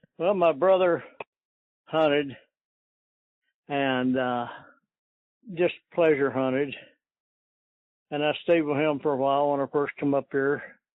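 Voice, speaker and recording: This man speaks at a fairly high pitch in an Appalachian accent, with fairly even intonation. He goes at a fairly slow pace and takes long, frequent pauses. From eastern Kentucky. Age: 70s. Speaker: coon hunter, retired factory worker. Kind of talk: interview. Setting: phone call. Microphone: poor phone audio.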